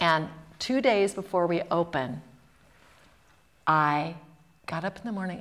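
A woman speaks at a fairly low pitch. Her intonation is lively. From US South. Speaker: actor and theatre professor; actor, theatre professor. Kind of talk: storytelling in a public talk. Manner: animated. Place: stage.

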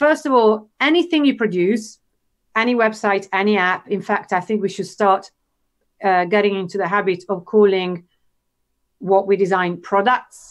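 Against a quiet background, a woman speaks at a moderate pace. She has an Italian accent. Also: medium pitch for a woman, ordinary pitch variation. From Italy. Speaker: UX designer and educator. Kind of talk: casual interview. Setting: video call. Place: home room. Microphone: video call.

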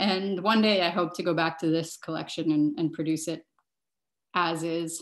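Over a quiet background, a woman with a fairly low pitch speaks at a moderate pace with monotone, flat intonation. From Montreal, Canada; Quebec, Canada. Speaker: fashion designer and sustainability professor; sustainability professor. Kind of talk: online workshop presentation. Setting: video call. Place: home room. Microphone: video call.

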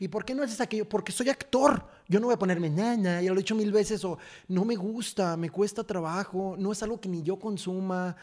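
A man's high-pitched voice at a fairly quick pace, ordinary pitch variation, quiet background. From Mexico. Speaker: actor. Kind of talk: casual chat. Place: studio. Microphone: studio mic.

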